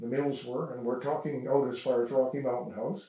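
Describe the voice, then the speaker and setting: With a western Canadian accent, a man speaks with fairly even intonation. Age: 80s+. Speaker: local elder sharing family history. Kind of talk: oral history interview. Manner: halting, many fillers.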